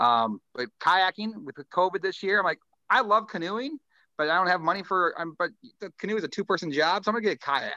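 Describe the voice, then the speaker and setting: In an American accent, a man uses a raised, projected voice with a high pitch, a bright, sharp tone and lively intonation. He talks at a fairly quick pace, and the sound is dry and close with no echo. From southern Minnesota. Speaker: radio DJ. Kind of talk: casual chat.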